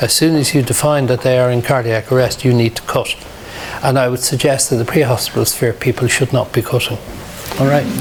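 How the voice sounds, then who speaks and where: Through noticeable background noise, a man speaks with a Dublin accent in a monotone, flat intonation. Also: medium pitch for a man. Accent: Dublin Irish. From Ireland, Dublin (Ballyfermot). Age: 60s. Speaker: emergency medicine doctor. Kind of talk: lecture; Q&A session.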